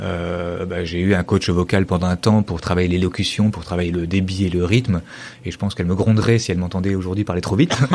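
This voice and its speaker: The speech comes at a very fast pace. The intonation is flat and monotone. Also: man, very deep, low pitch for a man. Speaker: tech company CTO. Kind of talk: podcast interview. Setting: meeting room at his company, two people. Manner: hesitant, many fillers.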